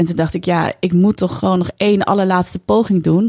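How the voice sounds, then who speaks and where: Dark and mellow in tone, a woman's voice sits at a medium pitch. Her intonation stays fairly even, and the sound is dry and close with no echo. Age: 40s. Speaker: author and broadcaster. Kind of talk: casual interview chat.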